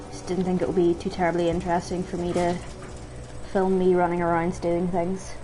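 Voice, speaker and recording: Soft-spoken and fairly low-pitched, a woman talks at a fairly quick pace in a monotone, flat intonation, with audible room echo and noticeable background noise. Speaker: gaming streamer. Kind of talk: gameplay commentary.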